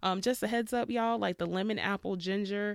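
With an ordinary speaking voice, a woman talks at a medium pitch and fairly quick pace in a very clean recording with a silent background. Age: 30s. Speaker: podcast host and PhD student. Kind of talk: solo podcast monologue. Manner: casual, conversational with laughter.

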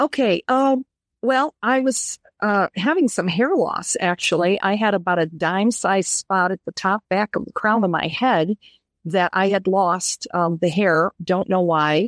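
Recorded with a dry, close sound and no echo, a woman with an ordinary speaking voice talks at a medium pitch and a fairly slow pace, using lively intonation. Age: 60s. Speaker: interview guest sharing diet experience. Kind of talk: interview conversation.

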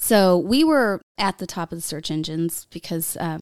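On a very clean recording with a silent background and a dry, close sound with no echo, a woman of medium pitch speaks at a moderate pace in an animated tone. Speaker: commercial insurance broker. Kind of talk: casual interview chat. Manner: animated, laughs often.

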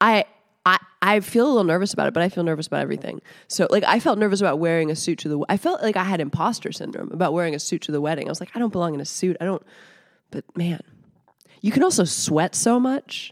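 A very fast woman's voice of medium pitch with lively intonation, on a very clean recording with a silent background. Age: 30s. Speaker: comedian. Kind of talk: casual chat. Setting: home basement.

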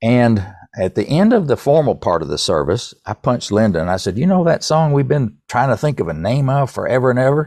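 Very wide pitch swings at a fairly quick pace, with an East Tennessee accent over a quiet background. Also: man, medium pitch for a man. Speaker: songwriter and author. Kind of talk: interview, casual chat.

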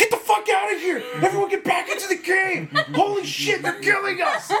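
A man performs a put-on character voice at an extremely high pitch. He goes at a fairly quick pace over clear background noise.

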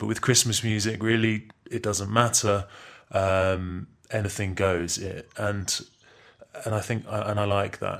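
A man speaks in a fairly low voice with an English accent, his intonation flat and monotone. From England. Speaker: musician. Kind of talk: pre-recorded interview answers. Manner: halting.

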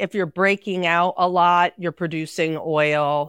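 A woman with a plain, everyday voice and fairly low pitch talks at a fairly slow pace in a very clean, silent recording with a dry, close sound and no echo. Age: 40s. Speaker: esthetician. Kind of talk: casual chat.

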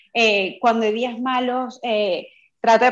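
Against a quiet background, a woman speaks in a fairly high pitch with monotone, flat intonation. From Venezuela. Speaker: coaching course student. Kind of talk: interview testimony.

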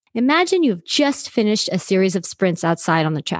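A woman's voice with very wide pitch swings, against a quiet background. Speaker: sports psychology coach. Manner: instructional and clear.

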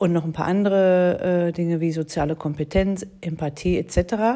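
A woman's fairly low voice, with ordinary pitch variation, comes through on a very clean recording against a silent background. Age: 40s. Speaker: mediator and podcast host. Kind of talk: solo podcast monologue. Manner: hesitant with fillers.

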